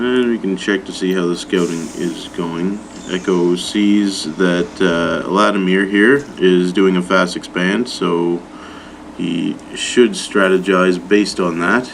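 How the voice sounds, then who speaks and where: There is noticeable background noise behind this man. His very deep, low voice moves at a very slow pace with fairly even intonation. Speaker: amateur game commentator. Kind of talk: live game commentary. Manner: casual, hesitant with fillers.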